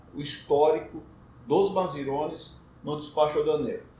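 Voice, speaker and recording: Audible room echo fills the recording. A man speaks with ordinary pitch variation. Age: 60s. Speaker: customs broker. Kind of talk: casual chat.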